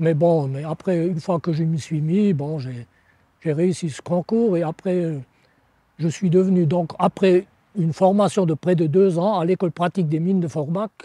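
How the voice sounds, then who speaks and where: Heard on a very clean recording with a silent background, a man's high-pitched voice has a dark, mellow tone and ordinary pitch variation. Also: dry, close sound with no echo. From France, Moselle (Lorraine). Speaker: retired coal miner. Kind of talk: oral history interview. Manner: halting, with frequent hesitations.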